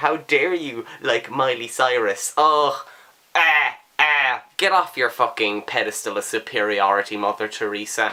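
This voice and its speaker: Speaking in an Irish accent, a man with a bright, sharp tone talks at a fairly slow pace with lively intonation. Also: medium pitch for a man. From Ireland. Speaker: book vlogger. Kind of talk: casual talk to camera.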